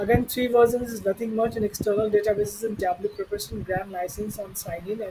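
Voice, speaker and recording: Very fast speech over noticeable background noise. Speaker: data analytics tutor. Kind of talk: tutorial. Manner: halting.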